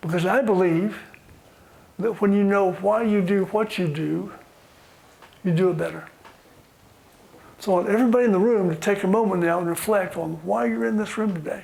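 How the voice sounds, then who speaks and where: Amid audible room echo, a man talks fairly quickly at a high pitch, leaving long, frequent pauses. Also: ordinary pitch variation. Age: 70s. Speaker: workshop facilitator. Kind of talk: guided group exercise. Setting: conference room with audience.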